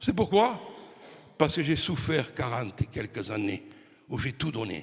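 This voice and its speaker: A somewhat breathy man at medium pitch talks at a fairly slow pace, with very wide pitch swings and big swings in loudness. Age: 60s. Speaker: preacher. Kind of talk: sermon. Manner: animated.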